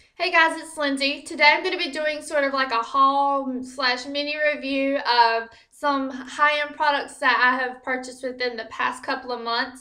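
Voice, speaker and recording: A woman with an American accent uses a raised, projected voice at a high pitch, with fairly even intonation and hardly any pauses. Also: moderate pace. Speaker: beauty vlogger. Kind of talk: product review vlog. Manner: casual with fillers.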